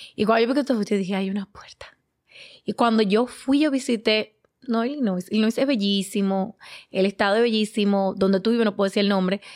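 Fairly high in pitch, a woman's unremarkable speaking voice moves at a fairly quick pace. The very clean recording has a silent background and a dry, close sound with no echo. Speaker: podcast co-host. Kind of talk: casual chat.

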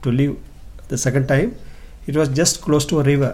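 Somewhat breathy, this man speaks at a fairly high pitch with fairly even intonation. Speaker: pastor and evangelist. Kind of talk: testimony.

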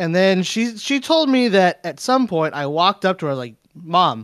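With an American accent, a man speaks at a high pitch and moderate pace, his pitch swinging very widely, on a very clean recording with a silent background and a dry, close sound with no echo. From California. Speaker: fighting game player and video game composer. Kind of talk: casual chat.

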